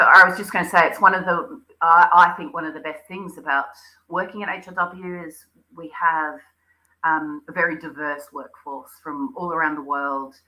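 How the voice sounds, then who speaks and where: With an Australian accent, a woman talks at a moderate pace in a fairly low, bright, sharp tone, her intonation fairly even but her loudness swinging widely. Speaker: interior designer. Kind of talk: interview. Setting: live stream. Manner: hesitant with fillers.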